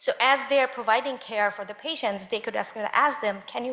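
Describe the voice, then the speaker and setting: A woman at a fairly quick pace and fairly high pitch, with a non-native accent and noticeable background noise. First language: not English. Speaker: panel speaker. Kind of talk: panel discussion.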